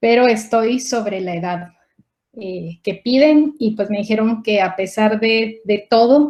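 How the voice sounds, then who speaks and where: A woman's dark, mellow tone at a fairly slow pace. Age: 40s. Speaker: scientist. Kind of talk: conference talk. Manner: halting.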